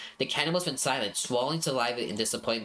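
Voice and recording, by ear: The speaker is reading aloud in a natural voice.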